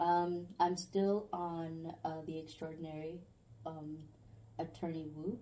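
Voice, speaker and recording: Speaking at a very slow pace, a woman holds a monotone, flat intonation. Her pitch is fairly low and her tone dark and mellow. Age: young. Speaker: podcast guest. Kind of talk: casual chat. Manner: giggly.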